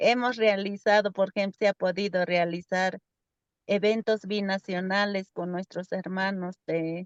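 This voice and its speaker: This woman has a medium pitch and monotone, flat intonation. She talks at a fairly slow pace in a dry, close sound with no echo. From Peru, Lake Titicaca, Uros floating islands. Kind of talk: webinar conversation. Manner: halting.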